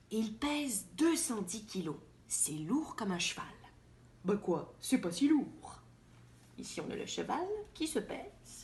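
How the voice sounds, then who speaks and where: Vocal fry runs through very slow speech with long, frequent pauses and very wide pitch swings. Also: woman, fairly high pitch for a woman. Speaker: actress. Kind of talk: children's picture book reading.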